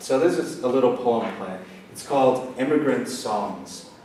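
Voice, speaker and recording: Through noticeable background noise and audible room echo, a man with an American accent and a fairly high pitch speaks at a fairly slow pace. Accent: American-tinged. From Northern Ireland (Portadown). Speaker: poet. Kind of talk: poetry reading.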